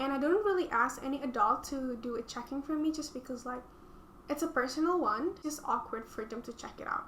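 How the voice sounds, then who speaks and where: A woman's high-pitched voice in an Indonesian accent, with ordinary pitch variation, big swings in loudness, a fairly quick pace, and noticeable background noise. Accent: non-native English, Indonesian. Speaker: student vlogger. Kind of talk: reading aloud own essays with commentary. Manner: hesitant, many fillers and restarts.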